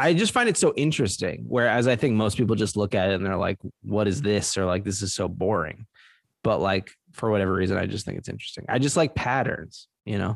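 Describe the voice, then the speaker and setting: Against a quiet background, a man with an American accent talks at a very fast pace with a fairly low pitch and ordinary pitch variation. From New Jersey, Trenton. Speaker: podcast co-host. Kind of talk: casual chat.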